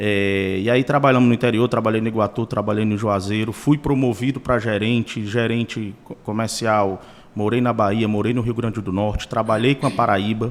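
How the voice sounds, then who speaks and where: With hardly any pauses, a man in an unremarkable speaking voice talks at a moderate pace and with fairly even intonation. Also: medium pitch for a man. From Ceará, Brazil (Sertão Central). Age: 40s. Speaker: car dealership co-owner. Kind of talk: podcast interview.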